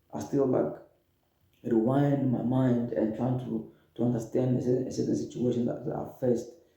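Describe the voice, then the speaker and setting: The voice has a dark, mellow tone with vocal fry, ordinary pitch variation, a moderate pace and long, frequent pauses, and audible room echo. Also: man. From Democratic Republic of the Congo. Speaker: refugee storyteller. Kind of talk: personal testimony. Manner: halting, repeats words.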